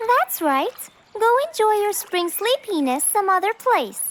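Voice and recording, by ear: This cartoonish character voice has a fairly bright tone, moves at a fairly slow pace and makes big pitch swings.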